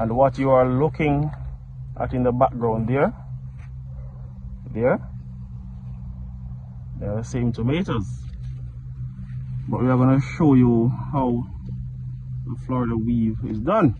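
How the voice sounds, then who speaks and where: Noticeable noise runs behind a man who speaks fairly slowly, with ordinary pitch variation. He leaves long, frequent pauses. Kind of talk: casual tutorial commentary. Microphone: phone near.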